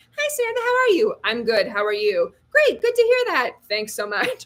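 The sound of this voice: Using a put-on character voice, a woman speaks at a moderate pace with an extremely high pitch.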